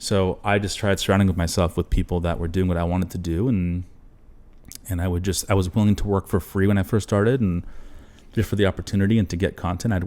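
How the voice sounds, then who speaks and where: A man's very deep, low voice in a dark, mellow tone at a very fast pace. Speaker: videographer and entrepreneur. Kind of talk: interview conversation. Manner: animated.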